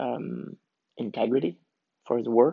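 The speaker is a man with a medium pitch. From Canada, rural farm, Swiss parents. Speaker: podcast host, working father. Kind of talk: personal monologue. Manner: hesitant, many fillers.

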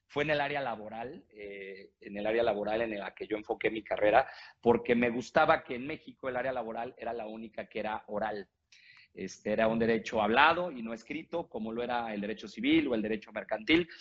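A fairly quick man at medium pitch, with ordinary pitch variation and big swings in loudness. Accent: Mexican. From Mexico. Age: 40s. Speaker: lawyer and former theatre actor. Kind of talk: interview conversation.

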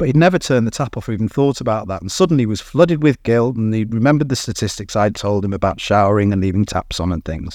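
A man with a British accent, medium-pitched, talking very fast with hardly any pauses and lively intonation against a quiet background. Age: 50s. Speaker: business co-founder. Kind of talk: interview.

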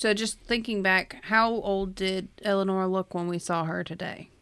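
Heard in a very clean recording with a silent background, a woman with an unremarkable speaking voice talks at a fairly slow pace with fairly even intonation. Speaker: player. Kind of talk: casual tabletop roleplaying game chat.

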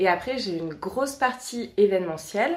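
A woman speaks at a medium pitch, her voice making very wide pitch swings. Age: 30s. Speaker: communication agency owner. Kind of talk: interview.

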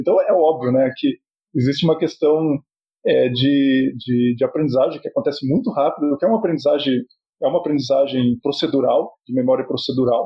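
Somewhat breathy, a man talks at a fairly quick pace in a fairly high pitch with ordinary pitch variation. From southern Brazil, Paraná (Cascavel). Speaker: psychology professor and bilingualism researcher. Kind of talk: podcast interview.

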